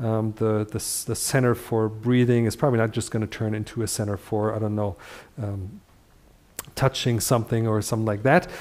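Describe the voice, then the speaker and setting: Speaking at a fairly quick pace, a man has a medium pitch. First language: Dutch. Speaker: functional neurology teacher. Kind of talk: live lecture. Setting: livestream. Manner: halting, many fillers.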